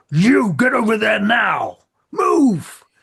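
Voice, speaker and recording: Growling in a gruff, put-on character voice, a man speaks at a high pitch. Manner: commanding.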